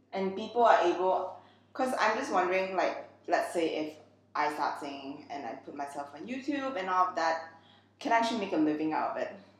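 A woman speaks at a fairly quick pace with very wide pitch swings and big swings in loudness. Noticeable background noise and audible room echo are present. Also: medium pitch for a woman. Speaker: podcast host. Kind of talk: casual interview chat.

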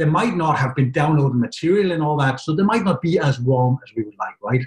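A man's somewhat breathy, fairly high voice at a very fast pace, with very wide pitch swings. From Denmark. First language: Danish. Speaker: software company partner manager. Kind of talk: webinar presentation.

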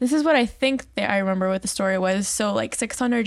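A plain, everyday voice, a woman at medium pitch with ordinary pitch variation. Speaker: medical clinic staff. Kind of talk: casual chat.

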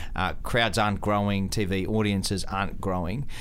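A normal speaking voice with fairly even intonation at a moderate pace. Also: man. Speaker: radio host and sports broadcaster. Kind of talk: radio interview.

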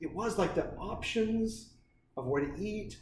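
Here a man speaks at a moderate pace with an American accent. The recording has audible room echo and noticeable background noise. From eastern Oregon, US Northwest. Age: 40s. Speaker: business co-founder and mentor. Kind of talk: casual chat.

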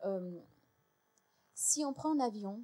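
The woman's voice has a dark, mellow tone. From United States. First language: English (speaking French). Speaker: historian and lecturer. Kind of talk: panel debate. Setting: stage with audience.

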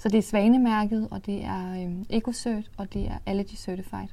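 The woman's medium-pitched voice carries a dark, mellow tone. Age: 20s. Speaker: makeup company co-founder. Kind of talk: interview.

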